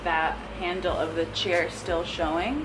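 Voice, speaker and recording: Over noticeable background noise and audible room echo, a woman speaks at a fairly slow pace with a fairly low pitch. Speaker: lifestyle YouTuber. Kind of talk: DIY tutorial. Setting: outdoors in backyard.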